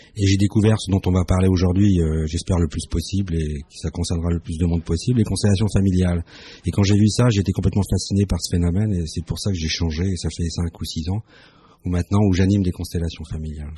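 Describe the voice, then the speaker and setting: Very fast and somewhat breathy, a man talks with a dark, mellow tone, very deep, low pitch and fairly even intonation. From France, Strasbourg (Alsace). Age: 50s. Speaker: family constellation therapist. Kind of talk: radio interview.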